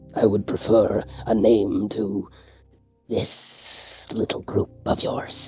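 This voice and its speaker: A man puts on a character voice at a fairly low pitch, speaking at a very slow pace with fairly even intonation. Faint music plays in the background. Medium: actual play. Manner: stiff, formal, measured.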